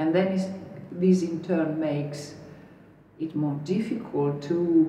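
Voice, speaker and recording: A woman with a strong Italian accent talks at a very slow pace in a very deep, low voice. The room echo is audible, and background noise is noticeable. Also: fairly even intonation. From northern Italy, near the Adriatic coast. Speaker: artist and researcher. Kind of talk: interview monologue. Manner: hesitant, with fillers and restarts.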